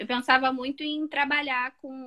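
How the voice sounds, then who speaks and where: A woman projects a raised, high-pitched voice with a bright, sharp tone and flat, monotone intonation. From Rio de Janeiro, Baixada Fluminense. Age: 20s. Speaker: medical student. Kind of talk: interview. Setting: at home.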